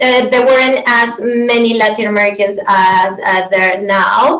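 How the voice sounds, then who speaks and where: Fairly slow speech from a woman with a Venezuelan accent, fairly high pitch and noticeable background noise. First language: Spanish. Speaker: yoga teacher. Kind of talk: interview. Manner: halting.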